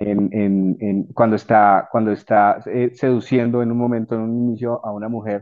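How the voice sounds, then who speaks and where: At a fairly slow pace, a man speaks in a medium pitch with a monotone, flat delivery. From Colombia. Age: 40s. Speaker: civil engineer and personal development coach. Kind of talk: casual interview chat. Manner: halting.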